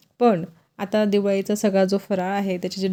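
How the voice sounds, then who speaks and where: On a very clean recording with a silent background, a woman has an ordinary speaking voice at a medium pitch. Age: 40s. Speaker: lifestyle vlogger. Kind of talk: vlog narration.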